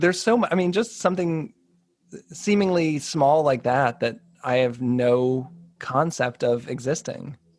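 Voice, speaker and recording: With an American accent, a man uses a plain, everyday voice, fairly high in pitch, speaking at a fairly slow pace with lively intonation and very even loudness. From Boston area, USA. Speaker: podcast host. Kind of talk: podcast interview, casual conversation.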